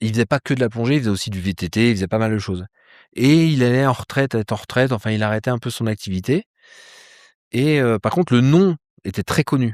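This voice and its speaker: Speech comes at a very fast pace with long, frequent pauses and ordinary pitch variation. The recording is very clean and silent behind, with a dry, close sound and no echo. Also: man, medium pitch for a man. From France, Troyes. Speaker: polar explorer and ice-diving instructor. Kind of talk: interview. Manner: casual, hesitant with many fillers.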